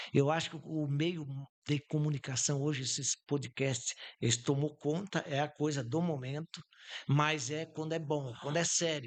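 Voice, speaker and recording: A man speaks in an ordinary speaking voice at a fairly high pitch. The background is quiet. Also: fairly even intonation, fairly slow pace. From southern Brazil, Santa Catarina (Campos Novos). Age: 60s. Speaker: businessman. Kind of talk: podcast interview. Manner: informal, with frequent fillers.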